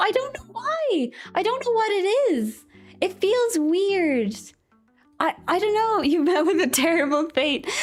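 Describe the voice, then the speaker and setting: A woman with an extremely high voice speaks with lively intonation over music in the background. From Ireland. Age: 20s. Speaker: vtuber streamer. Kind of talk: casual chat. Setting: live stream. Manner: animated.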